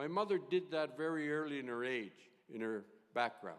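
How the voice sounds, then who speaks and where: A man with lively intonation at a moderate pace. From northern Saskatchewan, Cumberland House. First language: Cree. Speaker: retired judge, keynote speaker. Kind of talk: keynote speech.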